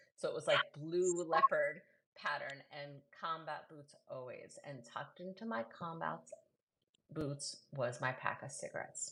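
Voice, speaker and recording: Speaking fairly slowly in a New York accent, a woman lets her loudness swing widely. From New York City. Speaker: poet and host. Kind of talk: casual chat. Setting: live video.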